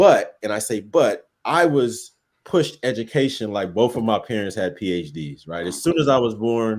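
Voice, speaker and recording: With an American accent, a man speaks at a moderate pace in a medium pitch, his voice making very wide pitch swings. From US West Coast, Los Angeles County. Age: 30s. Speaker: education researcher. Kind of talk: interview testimony. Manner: animated.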